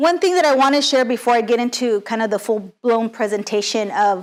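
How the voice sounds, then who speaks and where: This woman has a normal speaking voice with an American accent. Her pitch is fairly high. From California Central Valley (Lindsay). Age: 30s. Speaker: city councilmember and attorney. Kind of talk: lecture.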